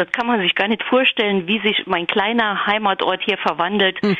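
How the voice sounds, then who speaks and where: This woman has a medium pitch and fairly even intonation. She speaks at a moderate pace over noticeable background noise. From Hunsrück, Rhineland-Palatinate, Germany. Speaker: newspaper editor and author. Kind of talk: interview.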